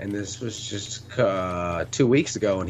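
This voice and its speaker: A fairly low-pitched male voice with ordinary pitch variation, over noticeable background noise. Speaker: podcast co-host, military veteran. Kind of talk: casual chat. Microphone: bad connection, breaking up.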